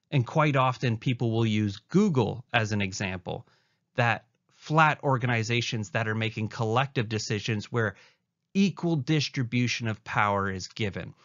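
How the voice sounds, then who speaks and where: A man's unremarkable speaking voice with a Canadian accent, medium pitch, ordinary pitch variation and a moderate pace. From Canada. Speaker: university lecturer. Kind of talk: recorded lecture.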